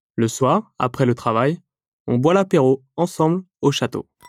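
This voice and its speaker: With lively intonation and a fairly high pitch, a man speaks on a very clean recording with a silent background and a dry, close sound with no echo. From France, Loire Valley. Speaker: storyteller. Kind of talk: scripted narration. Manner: slow, clear.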